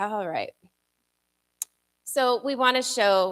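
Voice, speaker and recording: A soft-spoken woman talks with ordinary pitch variation. The sound is dry and close, with no echo. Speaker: pastor. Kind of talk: sermon.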